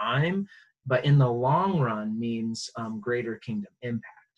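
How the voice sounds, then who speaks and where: Speaking at a moderate pace, a man shows ordinary pitch variation. There is a somewhat breathy quality to his voice. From US, moved around; high school in Virginia. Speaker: pastor. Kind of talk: interview.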